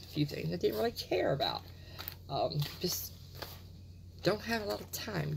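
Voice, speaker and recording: With vocal fry and a very deep, low pitch, a woman speaks over light background noise. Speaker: beauty product reviewer. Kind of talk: casual vlog chat. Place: home room. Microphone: phone near.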